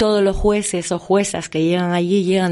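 A woman talks at a moderate pace in a plain, everyday voice. Her pitch is fairly low, and her intonation is fairly even. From Canary Islands. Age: 50s. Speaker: actress. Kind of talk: interview.

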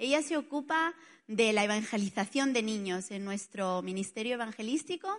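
In a quiet background, a woman with an Italian accent talks at a moderate pace in a fairly high pitch. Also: lively intonation. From Spain, Barcelona. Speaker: preacher. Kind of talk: sermon.

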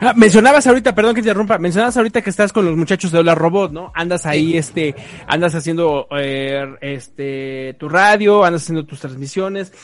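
Speaking at a fairly quick pace with hardly any pauses, a high-pitched man uses lively intonation and big swings in loudness. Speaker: podcast co-host. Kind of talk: casual chat. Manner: halting, filler-heavy.

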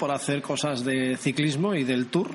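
Fairly high-pitched male speech with fairly even intonation over noticeable background noise. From Basque Country, San Sebastián. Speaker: radio host. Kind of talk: casual interview.

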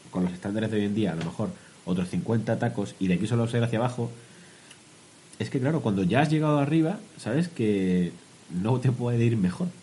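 Dark and mellow in tone, a man's somewhat breathy, medium-pitched voice moves along with long, frequent pauses. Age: 20s-30s. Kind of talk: casual chat.

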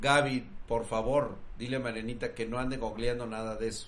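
A man's animated, medium-pitched voice in a Mexican accent, with ordinary pitch variation and audible room echo. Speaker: tech streamer. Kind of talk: casual live stream chat. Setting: live stream.

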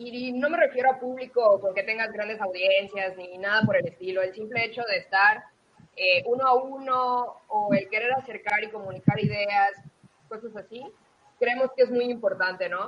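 A woman with a fairly high pitch talks at a moderate pace with ordinary pitch variation in a plain, everyday voice. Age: 20s. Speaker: accountant and aspiring speaker. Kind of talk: interview.

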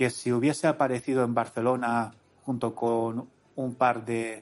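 Monotone, flat intonation carries this man's medium-pitched voice from start to finish. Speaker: podcast host. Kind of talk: casual podcast monologue.

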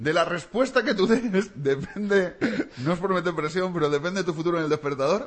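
An animated man with a high pitch and lively intonation, against noticeable background noise. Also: very even loudness. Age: 40s. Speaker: radio host. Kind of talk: morning radio show chat. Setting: studio.

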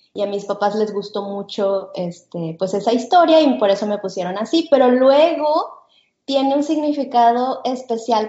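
Talking at a fairly slow pace, a woman has a fairly high pitch, ordinary pitch variation and an unremarkable speaking voice. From Mexico, Guadalajara. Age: 40s. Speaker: podcast co-host, homeschooling mother. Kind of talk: casual chat.

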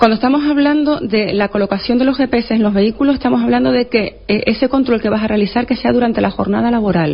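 A woman with a fairly high voice talks very fast, with hardly any pauses. Her loudness stays very even, her pitch varies in an ordinary way, and there is noticeable background noise. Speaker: labour law expert. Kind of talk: radio interview explaining law.

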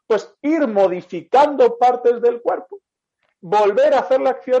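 A man's extremely high pitch with ordinary variation, delivered at a fairly slow pace. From Spain. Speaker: physiotherapist. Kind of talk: interview.

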